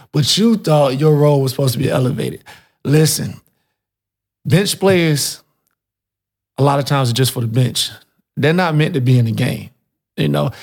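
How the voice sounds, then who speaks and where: A man's somewhat breathy, fairly high voice at a moderate pace, with ordinary pitch variation and long, frequent pauses. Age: 30s. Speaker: podcast guest. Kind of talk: casual chat. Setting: studio. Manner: animated.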